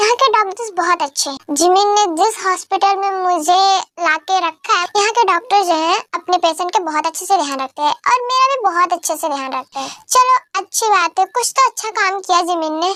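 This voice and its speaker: A put-on character voice moves at a moderate pace with lively intonation. The sound is dry and close, with no echo. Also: woman, extremely high pitch for a woman. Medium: fan dub. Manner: scolding, affectionate.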